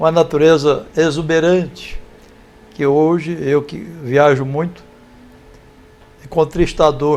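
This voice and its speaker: A man's fairly high, flat, monotone voice at a very slow pace, broken by long, frequent pauses. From Brazil, rural São Paulo state (Sertãozinho). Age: 70s. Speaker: volunteer in philanthropy. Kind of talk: interview, life story.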